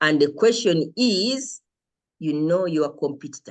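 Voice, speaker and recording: Against a quiet background, a woman speaks loudly and with a confident tone at a moderate pace, her very deep, low voice making very wide pitch swings. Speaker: lecturer. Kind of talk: lecture.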